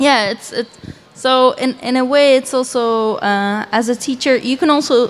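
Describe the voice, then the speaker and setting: The intonation is fairly even. Words come at a moderate pace. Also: woman. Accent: Dutch. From Belgium. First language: Dutch. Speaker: animator. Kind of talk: panel discussion.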